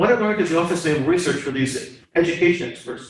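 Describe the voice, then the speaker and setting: Audible room echo surrounds a man whose fairly high voice carries lively intonation. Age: 70s. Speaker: STEM education volunteer presenting a community program. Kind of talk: class presentation with slides and questions. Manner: hesitant, many fillers and restarts.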